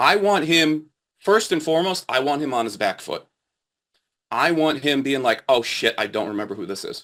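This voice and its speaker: A man's energetic, bright and sharp voice, fairly high in pitch, with very wide pitch swings and a moderate pace. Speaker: insurance sales trainer. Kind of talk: workshop talk. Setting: video call.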